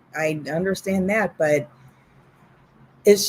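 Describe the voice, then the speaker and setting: In an unremarkable speaking voice, a woman talks at a fairly slow pace with a medium pitch and lively intonation. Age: 50s. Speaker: podcast co-host. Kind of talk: casual chat.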